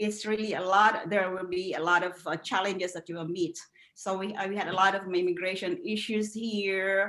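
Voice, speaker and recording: A woman speaks at a medium pitch with a Filipino accent. Her intonation is monotone and flat. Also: moderate pace. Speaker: educator. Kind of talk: interview. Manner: halting.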